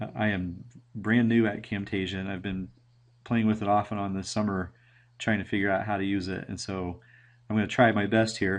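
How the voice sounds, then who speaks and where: At a fairly quick pace, a man speaks in monotone, flat intonation. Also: fairly low pitch for a man. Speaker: teacher presenting at a conference. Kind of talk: recorded presentation. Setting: screen recording at computer. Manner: halting, many fillers.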